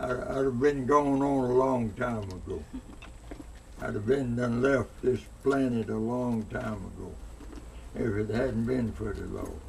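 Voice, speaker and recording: A man at a fairly slow pace with long, frequent pauses, amid audible room echo and noticeable background noise. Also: medium pitch for a man. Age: 90s. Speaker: elder interviewee. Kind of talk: interview. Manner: halting, repeats words.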